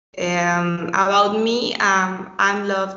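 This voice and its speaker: A woman speaks in a Spanish accent at a medium pitch. Audible echo from the room surrounds her voice. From Mexico. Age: 20s. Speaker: architect and BIM teacher. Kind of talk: podcast interview. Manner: halting.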